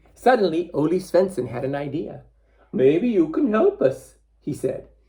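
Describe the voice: The text is given a plain reading aloud.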